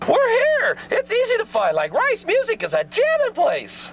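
At a moderate pace, a man performs a put-on character voice at an extremely high pitch. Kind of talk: TV commercial. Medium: voice reel. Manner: goofy, laid-back slang.

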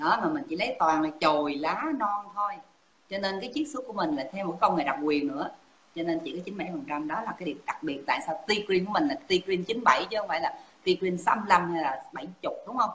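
Her pitch moves over a very wide range. The woman keeps a moderate pace. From Vietnam. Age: 50s. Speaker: pharmacist and product promoter. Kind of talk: sales pitch. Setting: Facebook live stream. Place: home room. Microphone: video call.

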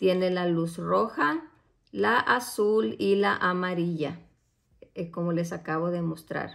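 A woman talks at a very slow pace. Around her, the background is quiet. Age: 40s. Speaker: beauty product reviewer. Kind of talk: product unboxing review. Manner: casual with frequent hesitations. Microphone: phone near.

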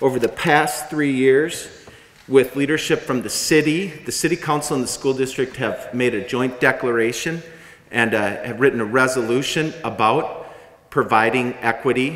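This is a man speaking at a moderate pace. His pitch varies in an ordinary way. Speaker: community organizer. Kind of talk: public speaking. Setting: stage with audience. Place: hall. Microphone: podium.

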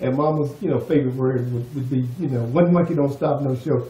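Audible room echo surrounds a man whose fairly high-pitched voice runs with hardly any pauses and fairly even intonation. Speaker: son of the documentary subject. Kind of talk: interview answer. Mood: warm, amused, laughing. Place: kitchen.

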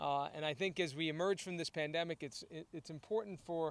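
A man at a fairly quick pace, ordinary pitch variation, dry sound with no echo. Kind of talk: press conference remarks. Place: stadium. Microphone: podium.

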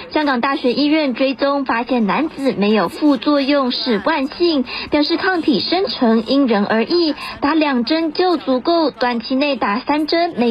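Over noticeable background noise, a woman with a high pitch speaks at a fairly slow pace, her intonation lively and her loudness very even. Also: hardly any pauses. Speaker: news reporter. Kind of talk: news voiceover.

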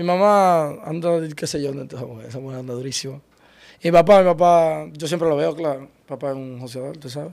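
A man talks at a moderate pace in a normal speaking voice, fairly high in pitch with ordinary pitch variation. His loudness swings widely, and the background is quiet. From Dominican Republic, Santo Domingo Este. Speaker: car rental business partner. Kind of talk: interview. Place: studio. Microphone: studio mic.

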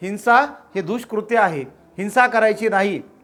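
A loud man with a high-pitched voice. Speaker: Buddhist preacher. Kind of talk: sermon. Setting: house gathering without microphone. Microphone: no microphone.

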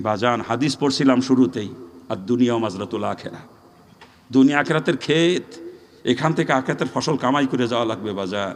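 A man speaks in an unremarkable speaking voice. His pitch is medium with ordinary pitch variation. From Bangladesh, Narail area. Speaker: Islamic preacher. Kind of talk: sermon.

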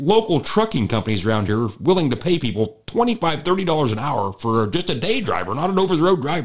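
Pitched fairly high, a man's voice with vocal fry swings very widely in pitch at a moderate pace. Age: 40s. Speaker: farmer and podcast host. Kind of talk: casual chat.

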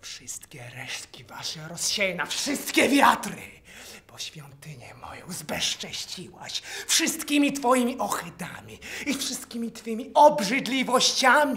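Doing a put-on character voice, a man sounds menacing and raspy at an extremely high pitch, with the pace kept moderate. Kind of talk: theatre monologue.

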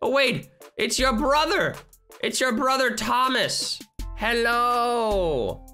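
With faint music in the background, a woman puts on a character voice at a high pitch and a very slow pace. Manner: playful role play.

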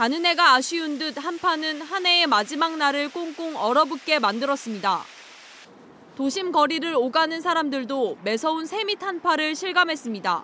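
A woman speaks in a high, raised and projected voice with lively intonation. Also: moderate pace. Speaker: news reporter. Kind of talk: scripted narration. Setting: outdoors.

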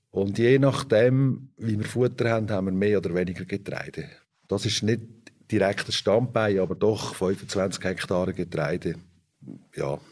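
Speaking at a fairly slow pace, a man uses a plain, everyday voice that sits fairly low, with ordinary pitch variation. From Switzerland, Fricktal (Aargau). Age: 50s. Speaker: organic dairy farmer. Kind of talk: interview.

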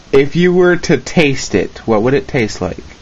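A man talks at a medium pitch with lively intonation.

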